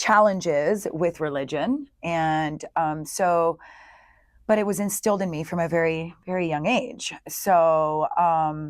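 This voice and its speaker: Fairly low in pitch, a woman speaks very slowly in a very clean recording with a silent background. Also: ordinary pitch variation. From Italy (Florence), moved to US at about 11. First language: Italian. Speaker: yoga teacher and healing center owner. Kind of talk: interview.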